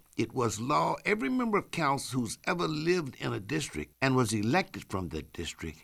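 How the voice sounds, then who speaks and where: A man with an American accent, medium pitch, very wide pitch swings, a bright, sharp tone and vocal fry, in a very clean recording with a silent background. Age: 70s. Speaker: former city councilman. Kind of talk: radio interview, civic discussion. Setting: radio studio.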